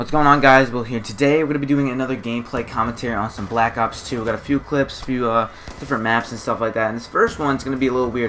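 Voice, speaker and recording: A man talks very fast with hardly any pauses, at a medium pitch. Noticeable background noise sits behind him. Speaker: gaming YouTuber. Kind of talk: gameplay commentary. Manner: animated.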